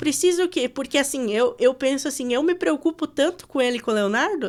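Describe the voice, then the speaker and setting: Her voice is high-pitched, with lively intonation and a fairly quick pace. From West of Santa Catarina, Brazil. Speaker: radio announcer. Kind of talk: podcast interview answer.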